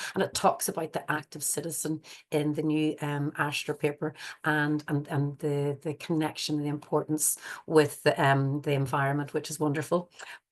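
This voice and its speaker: A woman's very deep, low voice with an Irish accent, monotone and flat, against a quiet background. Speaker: forest school educator. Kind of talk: webinar presentation. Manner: fast; hesitant, many fillers.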